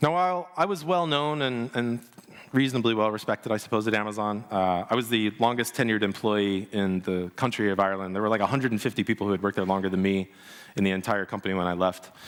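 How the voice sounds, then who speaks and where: Delivered at a very fast pace in an American accent, the speech has ordinary pitch variation. Its loudness stays very even. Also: man, fairly low pitch for a man. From United States. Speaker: business leader and consultant. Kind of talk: conference keynote speech.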